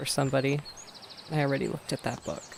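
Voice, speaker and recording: A man talks in a fairly high pitch over noticeable background noise. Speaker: gaming streamer. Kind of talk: gameplay livestream commentary. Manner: casual, chatty.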